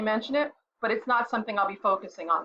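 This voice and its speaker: A loud woman talks at a very fast pace with lively intonation. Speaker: website reviewer and content writer. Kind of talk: website review commentary. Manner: loud and clear; halting with fillers.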